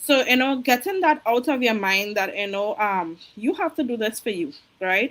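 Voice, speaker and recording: In a Caribbean accent, a woman talks at a moderate pace. Her fairly high voice moves in very wide pitch swings. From Trinidad. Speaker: registered nurse and online business coach. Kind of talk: interview.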